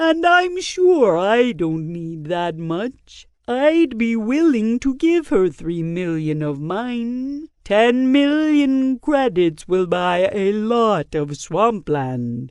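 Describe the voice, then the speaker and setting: A woman's put-on character voice, fairly high, at a very slow pace with very wide pitch swings and hardly any pauses. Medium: read story. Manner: calm, accommodating.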